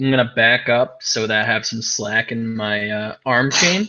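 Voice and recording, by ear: The passage is read aloud. The voice used is natural.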